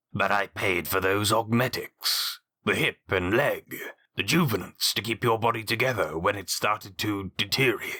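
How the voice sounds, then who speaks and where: A man puts on a character voice at a fairly low pitch and a moderate pace, in a dry, close sound with no echo. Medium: read story. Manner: measured, aristocratic.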